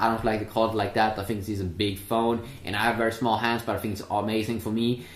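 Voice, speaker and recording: Noticeable background noise sits behind a man's medium-pitched voice. His intonation stays fairly even. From Sweden. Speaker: tech reviewer. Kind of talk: product review. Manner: hesitant, many filler sounds.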